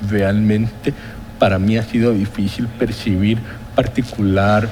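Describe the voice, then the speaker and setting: Over noticeable background noise, a man speaks at a fairly low pitch and a moderate pace. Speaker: economist, former health-insurance board chairman. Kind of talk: TV interview. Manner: formal.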